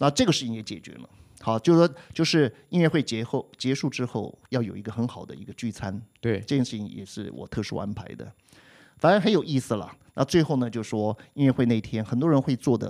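With big swings in loudness and lively intonation, a man speaks fairly quickly at a medium pitch in a very clean recording with a silent background. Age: 60s. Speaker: music teacher and podcast co-host. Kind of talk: casual chat. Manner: clear, precise articulation.

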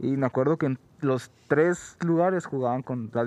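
A man's unremarkable speaking voice at medium pitch and moderate pace, against a quiet background. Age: 20s. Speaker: podcast co-host. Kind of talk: casual chat.

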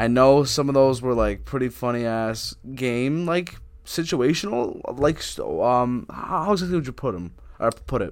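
At a moderate pace, a man talks in a normal speaking voice at a medium pitch. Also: lively intonation. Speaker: podcast host. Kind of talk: casual chat.

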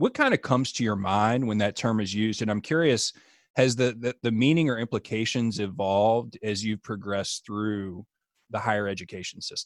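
On a very clean recording with a silent background and a dry, close sound with no echo, an unremarkable speaking voice moves at a moderate pace with ordinary pitch variation. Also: man. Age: 30s. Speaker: podcast host, graduate student. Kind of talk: interview hosting.

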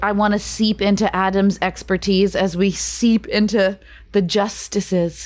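This very clean recording has a silent background and a woman speaking at a fairly slow pace. Her loudness stays very even and her intonation is monotone and flat. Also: medium pitch for a woman. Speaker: podcast host and stage actor. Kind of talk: scripted podcast introduction.

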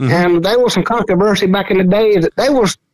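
Recorded with a dry, close sound and no echo, a man with a Southern Georgia accent speaks with ordinary pitch variation. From US South, southeast Georgia. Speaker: squirrel dog hunter. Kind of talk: casual chat.

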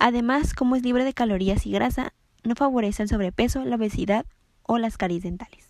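In an unremarkable speaking voice, a woman talks at a fairly quick pace with fairly high pitch. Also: ordinary pitch variation. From Mexico, Ensenada, Baja California. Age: young. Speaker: nutrition student. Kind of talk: scripted tips monologue.

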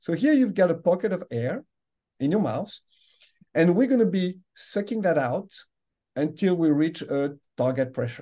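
A man with a French accent speaks at a high pitch, his tone dark and mellow, with very wide pitch swings. His pace is moderate, broken by long, frequent pauses. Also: quiet background. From France. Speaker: medical device executive. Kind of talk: interview.

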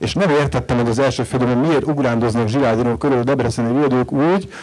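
The speech runs at a very fast pace with ordinary pitch variation. Noticeable background noise is present. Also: man. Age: 40s. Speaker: writer. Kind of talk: panel discussion.

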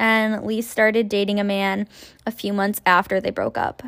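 A woman with a Canadian accent has an ordinary speaking voice, fairly high in pitch, and talks at a moderate pace. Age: 20s. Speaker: true crime podcaster. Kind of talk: casual true crime narration. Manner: casual, with frequent fillers.

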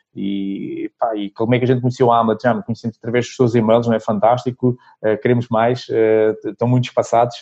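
Talking at a fairly quick pace, a man of medium pitch with a European Portuguese accent keeps a flat, monotone intonation. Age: 40s. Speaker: sales consultant and trainer. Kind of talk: casual interview.

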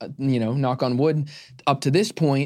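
This is a normal speaking voice from a man with an American accent, pitched at a medium level. His intonation is fairly even, and the recording is very clean with a silent background. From Arizona. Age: 20s. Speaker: media company CEO. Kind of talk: interview.

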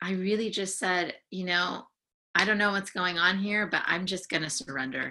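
A woman's plain, everyday voice in an American accent, medium in pitch, with fairly even intonation at a moderate pace. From San Francisco Bay Area, US. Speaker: counseling psychology student and life coach. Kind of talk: casual interview.

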